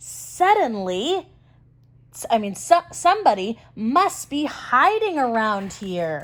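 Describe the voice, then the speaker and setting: A woman uses a put-on character voice with very wide pitch swings. Her pitch is fairly high and her pace fairly slow. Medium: read story.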